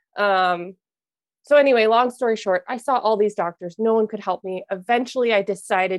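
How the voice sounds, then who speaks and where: A woman with an unremarkable speaking voice talks in an American accent at medium pitch and a moderate pace with fairly even intonation. The recording is very clean with a silent background, and its sound is dry and close with no echo. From US Midwest, Minnesota. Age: 20s. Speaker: mentor for highly sensitive people. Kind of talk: casual interview chat.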